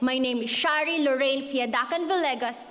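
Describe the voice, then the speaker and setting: Her pitch sits high for a woman, and her intonation stays fairly even. The clip has audible room echo and noticeable background noise. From Philippines. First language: Filipino (Cebuano/Tagalog). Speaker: graduating student speaker. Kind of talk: commencement speech. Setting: stage with audience.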